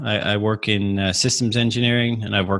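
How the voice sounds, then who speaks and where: In a bright, sharp tone, a man talks at a moderate pace with a fairly low pitch and monotone, flat intonation. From Australia, Adelaide. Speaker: aerospace engineer and amateur racer. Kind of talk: podcast interview.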